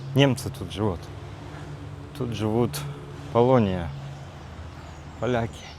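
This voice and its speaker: Over noticeable background noise and audible room echo, a man at medium pitch talks at a very slow pace with long, frequent pauses. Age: 40s. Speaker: vlogger. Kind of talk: casual vlog monologue. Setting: outdoors, walking in a park. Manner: hesitant, with fillers.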